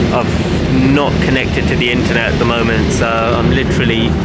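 Loud background noise sits behind a man talking at a moderate pace, the sound dry with no echo. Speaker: travel vlogger. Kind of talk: casual vlog chat. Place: boat. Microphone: phone near.

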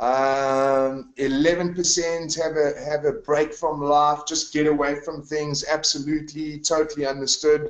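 Over a quiet background with audible room echo, a man with fairly high pitch speaks at a fairly slow pace with hardly any pauses. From South Africa, KwaZulu-Natal (Newcastle); KwaZulu-Natal, South Africa. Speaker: retreat leader. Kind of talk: webinar sales presentation. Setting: online webinar from home. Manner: animated.

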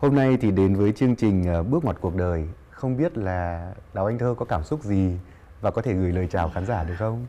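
Lively in intonation and dark, mellow in tone, a man speaks at a moderate pace. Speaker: talk show host. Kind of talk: interview. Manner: formal. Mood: warm, smiling, friendly. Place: studio. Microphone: lapel.

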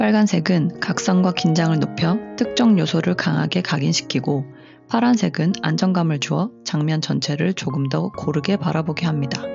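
Music plays in the background as a woman speaks at a moderate pace, her fairly low voice carrying lively intonation. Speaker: color psychology content creator. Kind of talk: educational explainer narration.

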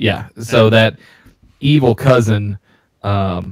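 A somewhat breathy man with a fairly low pitch talks with fairly even intonation in a dry, close sound with no echo. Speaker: beer podcast co-host. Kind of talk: casual chat.

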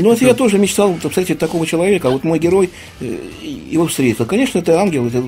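A man speaks very fast in a high voice with very wide pitch swings. Light background noise sits behind him. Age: 60s. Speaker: writer. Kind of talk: radio interview answer. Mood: calm, reflective. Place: studio.

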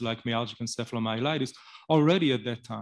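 The background stays quiet while the man talks. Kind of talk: speech at event. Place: hall. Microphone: podium.

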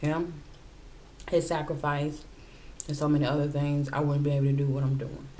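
A woman speaks at a moderate pace with a very deep, low pitch. Light background noise can be heard. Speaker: mukbang vlogger. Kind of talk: casual vlog chat. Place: home room.

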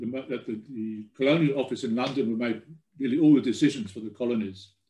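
At a fairly quick pace, a man with a dark, mellow tone speaks amid audible room echo. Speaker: genealogy researcher giving a talk; presenter. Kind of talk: presentation talk. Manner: halting, many fillers and repeats. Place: home room. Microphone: webcam.

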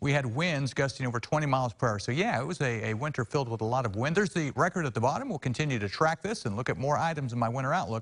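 A man talking very fast with hardly any pauses, somewhat breathy, lively intonation, quiet background. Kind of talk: weather forecast presentation. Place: studio. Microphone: lapel.

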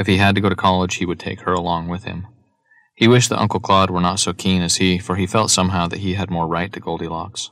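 A man's very deep, low voice at a very fast pace, monotone and flat, in a very clean recording with a silent background. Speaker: audiobook narrator. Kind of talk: literary audiobook reading, scripted narration. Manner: measured, even-paced, formal narration.

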